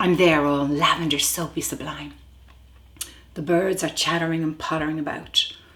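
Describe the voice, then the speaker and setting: With a Dublin accent, a woman speaks at a moderate pace and a fairly low pitch, her intonation fairly even. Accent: Dublin Irish. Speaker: actor. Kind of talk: dramatic monologue.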